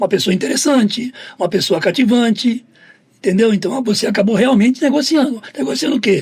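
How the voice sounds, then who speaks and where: At a fairly quick pace, a man with an extremely high pitch speaks with lively intonation and very even loudness. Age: 60s. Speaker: football agent and negotiation speaker. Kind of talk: podcast interview.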